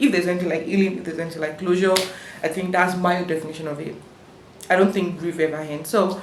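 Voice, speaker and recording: Amid noticeable background noise and audible room echo, a woman speaks very fast at a fairly low pitch with fairly even intonation. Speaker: vlogger. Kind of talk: personal storytelling vlog. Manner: halting, many fillers.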